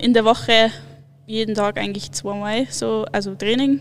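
With lively intonation and a fairly high pitch, this woman has an ordinary speaking voice. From Munich, Bavaria. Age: 20s. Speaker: alpine ski racer. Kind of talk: casual interview.

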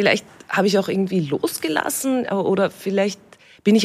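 This woman has a normal speaking voice at a medium pitch. She moves at a fairly quick pace with lively intonation. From Austria, Upper Austria (Steyr area). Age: young. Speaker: actress, cabaret artist and radio host. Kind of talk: casual interview chat. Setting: outdoors in a garden.

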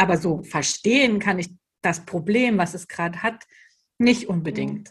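A woman's ordinary speaking voice at a medium pitch and moderate pace, with ordinary pitch variation. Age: 30s. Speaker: educator and trainer for childcare staff. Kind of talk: interview.

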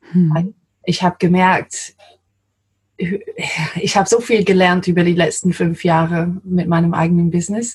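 A woman with an English accent speaks at a fairly slow pace in a fairly low pitch. Her voice is somewhat breathy, and her intonation is monotone and flat. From England, London. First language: English (speaking German). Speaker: translator. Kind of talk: interview.

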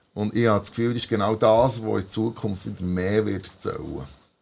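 This man has a plain, everyday voice, pitched fairly low, and keeps his intonation fairly even. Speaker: podcast host and musician. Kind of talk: casual chat. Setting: band rehearsal room.

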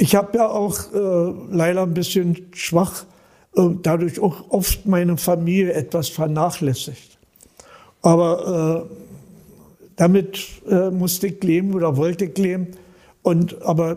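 With a dark, mellow tone and a high pitch, a man speaks at a very slow pace, with fairly even intonation and long, frequent pauses. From Berlin. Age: 80s+. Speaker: volunteer paramedic. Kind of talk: interview. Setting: on location, not studio.

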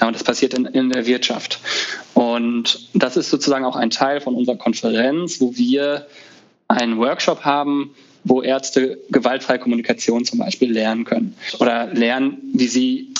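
Speaking at a medium pitch and a moderate pace, a man is heard against noticeable background noise. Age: 30s. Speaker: resident physician and conference founder. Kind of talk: casual interview.

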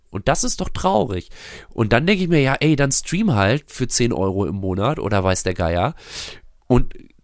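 Recorded very cleanly over a silent background, a man speaks at a moderate pace with a medium pitch. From Germany, near Bielefeld (East Westphalia). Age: 40s. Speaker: musician. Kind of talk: casual chat.

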